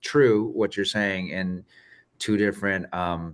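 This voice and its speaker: A man talks at a moderate pace in a very deep, low voice. The background is quiet. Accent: Spanish. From Arizona, raised by Mexican family. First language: Spanish. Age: 30s. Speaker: guest receiving a reading. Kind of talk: casual chat.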